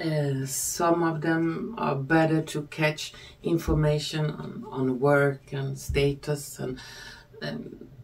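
A woman with a non-native accent speaks at a very deep, low pitch. Her intonation stays fairly even. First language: not English. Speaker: tarot reader and spiritual video creator. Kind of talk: scripted-style monologue, video presentation.

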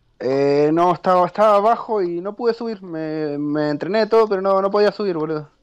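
Over a quiet background, a high-pitched man speaks at a fairly quick pace with ordinary pitch variation and hardly any pauses. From Argentina. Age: 20s. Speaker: competitive video game player. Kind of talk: casual interview.

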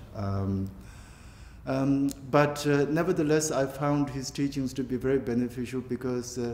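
In a Tibetan accent, a man speaks at a fairly slow pace and medium pitch, with audible echo from the room. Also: ordinary pitch variation. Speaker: Buddhist teacher. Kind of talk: interview. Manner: halting, many fillers. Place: home room.

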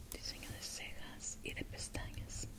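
A woman speaks in a whisper. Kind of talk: role-play consultation with a client. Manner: soft, hushed ASMR speaking voice. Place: home room. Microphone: lapel.

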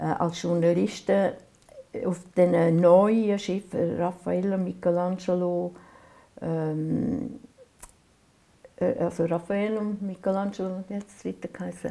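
Speaking in a Swiss accent at a very slow pace, a woman of medium pitch uses ordinary pitch variation and takes long, frequent pauses. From Aargau, Switzerland. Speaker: painter. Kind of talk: oral history interview answer. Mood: calm, reflective, gently animated. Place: workshop.

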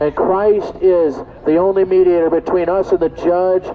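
Intonation stays monotone and flat. The man delivers his words at a moderate pace. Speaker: street preacher. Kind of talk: sermon. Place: street. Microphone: phone near.

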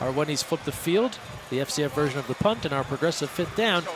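Animated in tone, a man speaks very fast with ordinary pitch variation over noticeable background noise. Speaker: play-by-play commentator. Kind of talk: live sports commentary. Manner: animated, fast-paced play-by-play.

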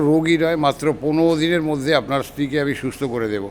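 The voice is an unremarkable speaking voice, with fairly even intonation. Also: man. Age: 60s. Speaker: customer giving a testimonial. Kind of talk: testimony.

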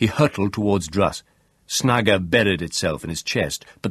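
The voice is an unforced reading voice. Its pitch varies in an ordinary way.

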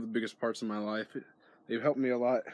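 A man speaks with fairly even intonation. The sound is dry, with no echo. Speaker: small youtuber. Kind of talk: casual vlog chat. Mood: warm, earnest. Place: garden. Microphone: phone near.

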